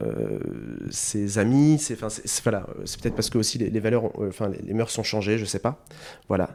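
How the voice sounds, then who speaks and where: At a moderate pace, a man with fairly low pitch and a dark, mellow tone keeps his intonation fairly even. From northern France, French Flanders (near Hazebrouck). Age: 30s. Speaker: restaurant owner. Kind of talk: interview. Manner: hesitant, many repetitions.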